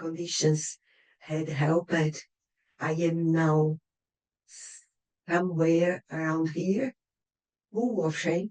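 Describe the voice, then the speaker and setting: A woman speaks very slowly in a Brazilian accent. Her pitch is fairly low and her intonation fairly even. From Brazil, Curitiba. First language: Portuguese. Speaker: writer and poet. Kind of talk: reading aloud a prepared speech. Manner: rehearsed, careful.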